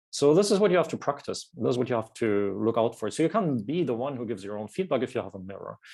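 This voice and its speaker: A man at medium pitch with a dark, mellow tone and a non-native accent, lively intonation, a fairly quick pace and a quiet background. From southern Germany, Bavarian Forest. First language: German. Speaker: language teacher and course author. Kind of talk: casual interview chat. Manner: hesitant, many fillers and repeats.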